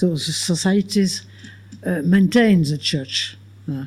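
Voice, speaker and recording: A woman speaks in a French accent with a fairly low pitch. Her tone is dark and mellow, with ordinary pitch variation. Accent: French, non-native English. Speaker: philosopher and author. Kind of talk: Q&A answer after a lecture. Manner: halting.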